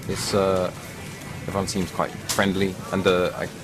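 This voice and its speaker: Amid audible room echo and music in the background, a man with a very deep, low pitch speaks at a moderate pace. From England, Cambridge. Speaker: street interviewee. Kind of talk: street interview.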